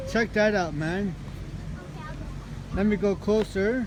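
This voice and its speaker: A man's high-pitched voice, fairly slow and fairly even in intonation, with crowd noise in the background. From Montreal, Quebec. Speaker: lawn care worker, vlogger. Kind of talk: casual vlog narration. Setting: outdoors. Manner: casual, halting with fillers.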